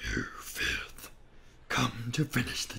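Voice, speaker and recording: A man's growling put-on character voice with clear background noise. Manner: snarling, weak, hostile.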